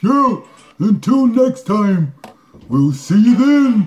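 A man puts on a cartoonish character voice, pitched high and delivered at a very slow pace. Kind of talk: comedic puppet advice show. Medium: puppet.

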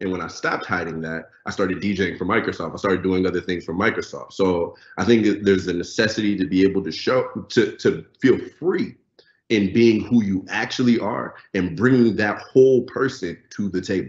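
A man's fairly low voice at a moderate pace, with ordinary pitch variation, audible room echo and a quiet background. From Lagos, Nigeria. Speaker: software engineer and DJ; panelist. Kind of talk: panel discussion. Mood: relaxed, sincere. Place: home room. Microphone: video call.

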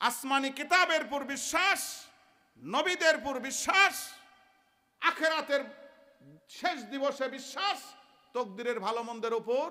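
Extremely high-pitched, raised and projected, a man's voice with a bright, sharp, animated tone and ordinary pitch variation. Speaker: Islamic preacher. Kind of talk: sermon. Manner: animated, call-and-response with audience.

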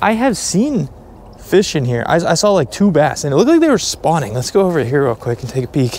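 A man with an American accent talks at a fairly quick pace and a fairly high pitch, his pitch swinging very widely. The sound is dry with no echo, and there is light background noise. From Delaware, US. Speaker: fishing YouTuber. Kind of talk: casual vlog narration. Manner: animated. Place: open country. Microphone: phone near.

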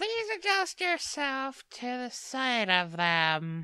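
A put-on character voice that sounds female uses a high pitch with very wide pitch swings at a very slow pace. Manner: exaggerated, theatrical.

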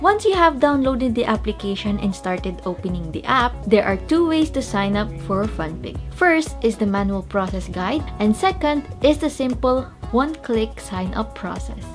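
Over clear music in the background, a woman speaks at a moderate pace with hardly any pauses. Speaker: presenter. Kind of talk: tutorial. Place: home room.

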